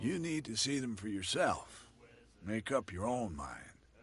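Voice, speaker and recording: A man puts on a raspy character voice at a medium pitch with very wide pitch swings. He keeps a moderate pace against a quiet background. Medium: video game. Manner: guarded, cryptic.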